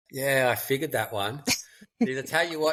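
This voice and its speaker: This man has an ordinary speaking voice. He talks at a fairly quick pace. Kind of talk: podcast host. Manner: casual, chatty.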